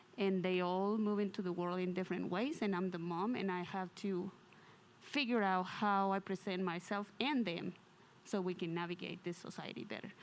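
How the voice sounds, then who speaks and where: A woman speaks at a moderate pace with a non-native accent, her pitch medium and her intonation fairly even. The recording is very clean, with a silent background. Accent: foreign. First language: not English. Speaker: audience member. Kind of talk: testimony.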